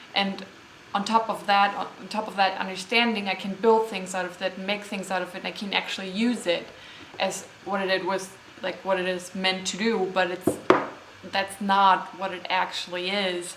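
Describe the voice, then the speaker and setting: With a German accent, the speaker keeps a monotone, flat intonation over noticeable background noise and audible room echo. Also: woman, medium pitch for a woman, moderate pace. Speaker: vlogger. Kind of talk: unscripted vlog monologue. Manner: hesitant, many fillers.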